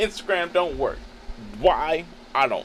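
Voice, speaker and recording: Over noticeable background noise, a man speaks at a fairly slow pace in an animated tone with lively intonation. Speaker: photographer and streamer. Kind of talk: live stream tutorial. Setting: live stream. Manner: casual, animated.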